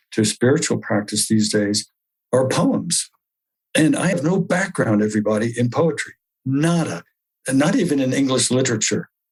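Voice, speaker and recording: At a moderate pace, this somewhat breathy voice carries lively intonation and very even loudness. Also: man, medium pitch for a man. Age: 70s. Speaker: spiritual group leader and archaeologist. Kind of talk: spiritual talk. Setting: video call.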